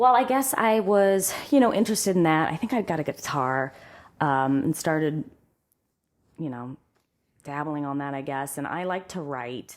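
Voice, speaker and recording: A woman with a very deep, low pitch and lively intonation, in a Midwestern US accent, at a fairly quick pace on a very clean recording with a silent background. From central Ohio. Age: 40s. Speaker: singer. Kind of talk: casual chat.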